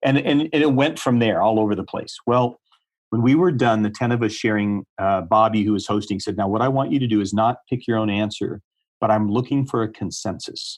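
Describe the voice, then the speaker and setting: A plain, everyday voice from a man with an American accent: medium pitch, ordinary pitch variation, fairly quick pace, quiet background. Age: 60s. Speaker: ministry leader and author. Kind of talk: interview. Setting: podcast.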